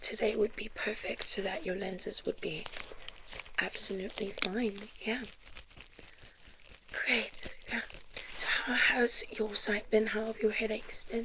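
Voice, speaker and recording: Soft-spoken and fairly high-pitched, a woman talks at a fairly slow pace with fairly even intonation and long, frequent pauses, over noticeable background noise. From South Africa. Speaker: ASMR performer. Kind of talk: ASMR roleplay as optometrist.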